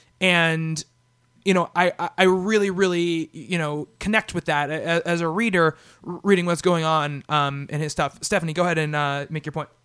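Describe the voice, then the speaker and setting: Loud and bright, sharp in tone, a man speaks at a high pitch with fairly even intonation. The recording is very clean with a silent background and a dry, close sound with no echo. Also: moderate pace. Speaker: comic book podcast host. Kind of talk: casual chat. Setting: studio.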